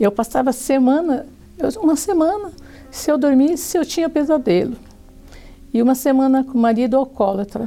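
Lively intonation and very even loudness mark this moderate-paced delivery, broken by long, frequent pauses. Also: woman, high pitch for a woman. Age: 60s. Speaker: church member giving testimony. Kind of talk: testimony.

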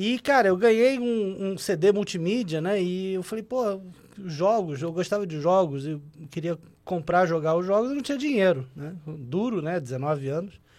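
A man talks at a fairly slow pace in a high voice. His intonation is lively. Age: 40s. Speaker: digital audio advertising executive. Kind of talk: podcast interview. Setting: studio.

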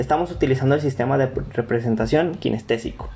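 Music runs in the background. A man speaks at a very fast pace. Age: 20s. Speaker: university student. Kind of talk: student presentation podcast.

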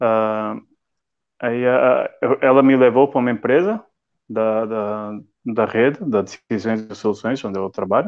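A man speaks at a fairly slow pace with long, frequent pauses. His voice sits at a medium pitch, with fairly even intonation. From northern Portugal, Viana do Castelo. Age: 30s. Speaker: IT and logistics professional. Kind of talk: casual interview on a live stream. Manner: halting, repeats words.

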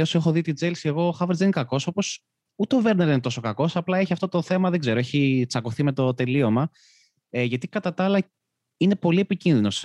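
A man at a fairly quick pace with lively intonation, a dry, close sound with no echo, and a very clean recording with a silent background. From Greece, Karpenisi area. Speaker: football podcast host. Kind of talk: casual chat. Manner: halting, repeats words.

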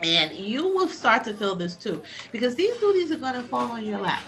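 Music plays in the background as a woman with a fairly high voice sweeps through very wide pitch swings. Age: 40s. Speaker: podcast host's mother, college graduate. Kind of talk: casual chat.

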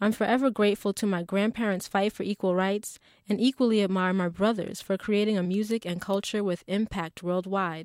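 A woman with an unremarkable speaking voice and an American accent, at medium pitch, with ordinary pitch variation and a fairly quick pace, on a very clean recording with a silent background and a dry, close sound with no echo. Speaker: essayist reading her own essay. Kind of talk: literary audiobook reading, a personal essay read aloud. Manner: earnest, proud, measured and expressive.

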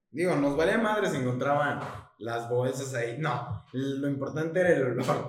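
Audible room echo surrounds a man speaking at a moderate pace with a fairly high pitch and ordinary pitch variation. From Mexico, Chiapas. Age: 20s. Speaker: podcast co-host, student. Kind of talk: casual chat. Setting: late-night recording.

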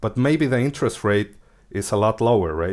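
In a very clean recording with a silent background, a man with a Spanish accent speaks with ordinary pitch variation. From Mexico. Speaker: crypto engineer. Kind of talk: interview.

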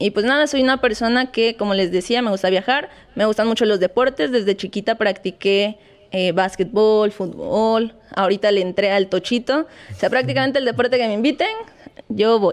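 The speaker has an unremarkable speaking voice at a moderate pace. Pitch variation is ordinary and loudness stays very even. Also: woman, fairly high pitch for a woman. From Mexico, Acapulco, Guerrero. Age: young. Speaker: physiotherapist. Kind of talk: interview. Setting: studio.

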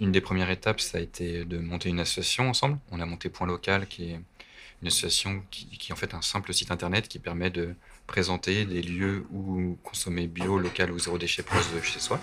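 A man with a very deep, low voice speaks at a fairly quick pace in a monotone, flat intonation. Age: 30s. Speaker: shopkeeper. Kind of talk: casual interview. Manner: halting.

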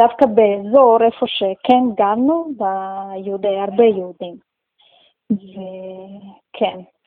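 Her pitch sits in the medium range with ordinary variation. This woman speaks very slowly. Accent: Russian. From Russia. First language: Russian (speaking Hebrew). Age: 30s. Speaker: community member, new immigrant. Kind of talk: interview. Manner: halting.

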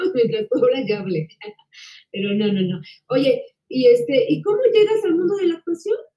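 A woman at a high pitch with a dark, mellow tone, very wide pitch swings, a moderate pace and long, frequent pauses. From Mexico. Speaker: actress and interviewer. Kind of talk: casual interview.

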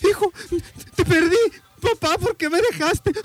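A man's voice over noticeable background noise. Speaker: radio show co-host. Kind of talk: casual chat. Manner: subdued.

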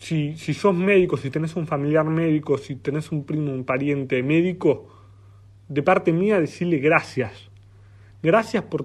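Quiet background behind a man with ordinary pitch variation and a moderate pace. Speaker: podcast host. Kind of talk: opinion monologue. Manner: impassioned.

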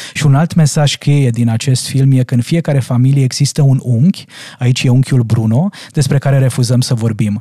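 In an unremarkable speaking voice, a man talks at a moderate pace with medium pitch. His intonation is fairly even and his loudness very even. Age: 40s. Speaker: parenting coach. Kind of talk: casual chat. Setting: studio.

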